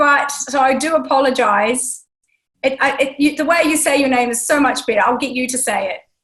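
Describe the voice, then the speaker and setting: A woman's high voice with a New Zealand accent, fairly even intonation and a fairly quick pace. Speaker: podcast host. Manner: hesitant, many fillers.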